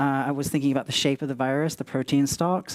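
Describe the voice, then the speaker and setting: A man rattles along at a very fast pace with monotone, flat intonation, in a very clean recording with a silent background. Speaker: creature designer and concept artist. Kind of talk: conference presentation. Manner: hesitant, many fillers.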